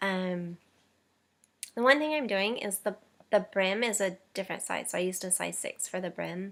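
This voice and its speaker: A woman's voice at a medium pitch. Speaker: knitting podcaster. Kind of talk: casual monologue. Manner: hesitant, many fillers.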